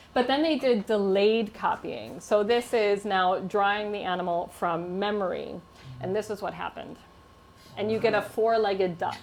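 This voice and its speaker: Music plays in the background as a woman talks with an American accent. Her pace is moderate, her pitch medium, with ordinary pitch variation. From United States. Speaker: linguistics professor. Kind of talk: humorous science talk to a live audience.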